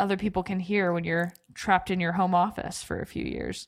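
A woman's speech at a moderate pace comes through a very clean recording with a silent background. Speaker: podcast co-host. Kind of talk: casual chat. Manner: animated.

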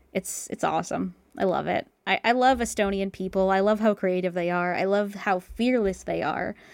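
At a moderate pace and with hardly any pauses, a woman speaks in an unremarkable speaking voice of medium pitch and fairly even intonation, recorded very cleanly against a silent background. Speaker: voice actor. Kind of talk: casual interview chat.

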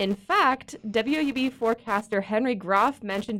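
On a very clean recording with a silent background, a woman talks at a moderate pace with a fairly high pitch. She has an unremarkable speaking voice with ordinary pitch variation. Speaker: weather forecaster. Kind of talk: interview explainer.

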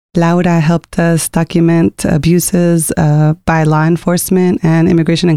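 A woman's fairly low, dark and mellow voice, flat and monotone, at a fairly quick pace, with a dry, close sound and no echo. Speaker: podcast host. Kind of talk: interview conversation.

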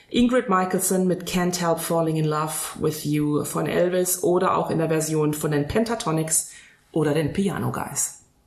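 Audible room echo and noticeable background noise fill the recording. The loudness stays very even, with ordinary pitch variation. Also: woman, fairly low pitch for a woman, moderate pace. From Frankfurt area, Hesse. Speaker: wedding celebrant. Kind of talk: casual chat.

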